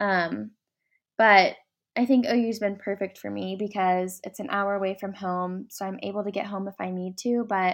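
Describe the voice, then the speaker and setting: A woman talks at a moderate pace with an American accent and medium pitch. She has an unremarkable speaking voice. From Oklahoma, Ardmore. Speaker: interior design student. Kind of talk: interview.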